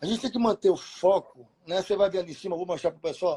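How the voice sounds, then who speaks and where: This man has a high-pitched voice with a dark, mellow tone. His intonation is lively. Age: 50s. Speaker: insurance community leader, live stream host. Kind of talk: casual live stream chat. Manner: animated.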